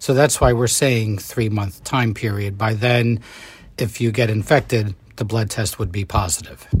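A man speaks with a somewhat breathy voice and fairly even intonation. The recording is very clean with a silent background. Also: medium pitch for a man, moderate pace. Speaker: doctor. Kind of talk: interview.

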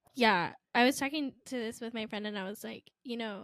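A woman speaks at a moderate pace with an American accent and a fairly high pitch. Her pitch varies in an ordinary way, and the recording is very clean with a silent background. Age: 20s. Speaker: podcast co-host. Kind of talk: casual chat. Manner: animated.

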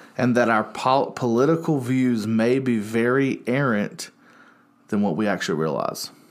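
On a very clean recording with a silent background, a man with a Southern US accent speaks at a moderate pace, his loudness very even and his pitch variation ordinary. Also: medium pitch for a man. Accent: US South. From North Carolina, Salisbury. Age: 30s. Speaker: youth pastor. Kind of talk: casual chat. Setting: studio.

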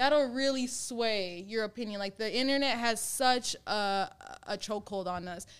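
With an American accent, a woman speaks in an unremarkable speaking voice at a fairly high pitch, with ordinary pitch variation and a moderate pace. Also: very clean recording, silent background. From Minnesota, Brooklyn Center. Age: 20s. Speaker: author. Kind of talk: casual chat.

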